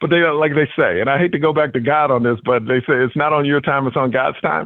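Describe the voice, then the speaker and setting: A man talks at a very fast pace in an animated tone, his pitch fairly high and his loudness very even. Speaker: comedian and game show host. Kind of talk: interview. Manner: energetic, excited.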